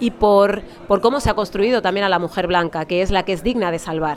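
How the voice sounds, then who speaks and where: A woman speaks with a Madrid accent against noticeable background noise. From Alcorcón, Madrid, Spain. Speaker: novelist and journalist. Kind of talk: interview at a book fair. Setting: live radio booth at a book fair.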